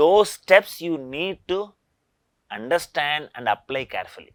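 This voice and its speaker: In a very clean recording with a silent background, a man with an Indian accent speaks with lively intonation. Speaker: engineering professor. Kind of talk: lecture.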